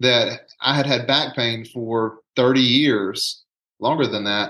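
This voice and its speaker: This man has a bright, sharp tone and a Southern US accent. His pitch varies in an ordinary way against a quiet background. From US South, rural south Alabama. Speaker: nurse anesthetist and hypnotherapist. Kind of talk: casual interview conversation.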